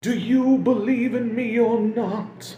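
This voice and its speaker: A put-on character voice speaks at a fairly slow pace in a solemn tone. The intonation stays monotone and flat. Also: man. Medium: read story. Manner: solemn, slow, sepulchral.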